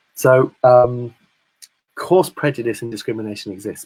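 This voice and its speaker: A man speaks at a medium pitch with fairly even intonation. He has an American accent. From Britain. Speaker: discussion guest. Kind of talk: casual chat.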